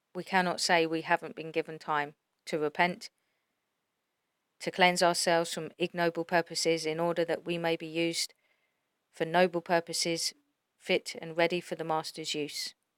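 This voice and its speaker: Soft-spoken and fairly low-pitched, a woman talks at a moderate pace in a monotone, flat intonation, with long, frequent pauses and a dry, close sound with no echo. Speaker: religious YouTuber. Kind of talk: religious monologue.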